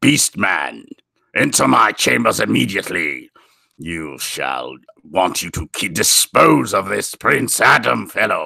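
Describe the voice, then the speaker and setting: Putting on a character voice, a man speaks raspy and very deep at a fairly slow pace. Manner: imposing, commanding.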